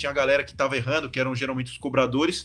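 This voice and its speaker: A man's fairly high voice with vocal fry, delivered at a very fast pace. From Brazil, São Paulo state (São Bernardo). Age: 20s. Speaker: professional handball player. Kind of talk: casual interview.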